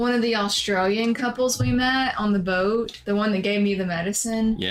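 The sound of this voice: Music plays in the background as a woman with a Southern US accent speaks at a moderate pace.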